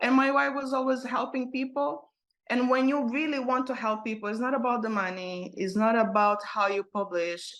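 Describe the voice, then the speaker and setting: At a moderate pace, a woman with a non-native accent speaks in a high pitch with ordinary pitch variation. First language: not English. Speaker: author and motivational speaker. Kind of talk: interview. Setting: podcast interview. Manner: halting, frequent repetitions.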